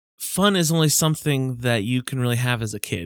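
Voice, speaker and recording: In a dry, close recording with no echo, a man talks at a moderate pace and medium pitch with ordinary pitch variation, in an unremarkable speaking voice. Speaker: podcast co-host. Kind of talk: casual banter among friends. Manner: joking, playful.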